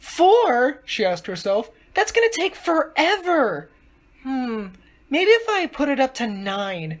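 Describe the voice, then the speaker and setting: In a put-on character voice, a female-sounding speaker uses a high pitch, a dramatic tone and very wide pitch swings at a fairly slow pace. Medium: read story. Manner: dramatic, excitable.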